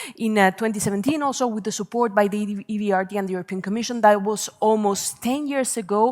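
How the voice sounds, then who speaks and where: A woman with a Spanish accent speaks at a medium pitch with fairly even intonation. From Spain. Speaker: panel moderator. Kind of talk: conference panel moderation. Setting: conference stage with audience. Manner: hesitant, many fillers.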